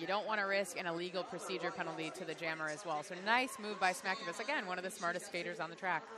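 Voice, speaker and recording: Crowd noise fills the background. Speech runs at a very fast pace with ordinary pitch variation and hardly any pauses. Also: woman, medium pitch for a woman. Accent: Chicago. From Chicago area, US Midwest. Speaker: roller derby commentator. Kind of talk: live commentary. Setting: commentary booth at a live event. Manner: animated.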